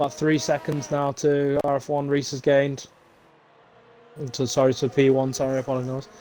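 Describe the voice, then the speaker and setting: A man with a British accent talks at a fairly quick pace in a fairly high pitch, using monotone, flat intonation. He takes long, frequent pauses over noticeable background noise. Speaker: esports race commentator. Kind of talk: live commentary.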